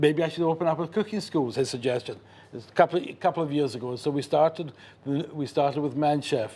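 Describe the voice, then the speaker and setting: In a Scottish accent, a man with a fairly high pitch and a dark, mellow tone talks at a very fast pace with ordinary pitch variation on a very clean recording with a silent background. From Scotland, Glasgow. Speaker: chef and caterer. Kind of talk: TV cooking demonstration interview.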